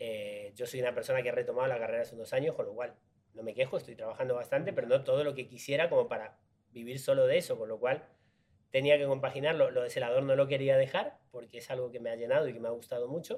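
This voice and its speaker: The speaker is a man going very fast. Loudness rises and falls in big swings. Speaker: actor. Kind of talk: casual interview chat.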